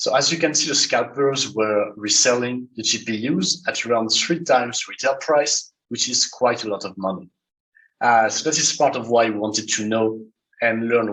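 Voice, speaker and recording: A man speaks with a French accent. His pace is moderate, with ordinary pitch variation. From France. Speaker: malware analyst. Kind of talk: conference talk.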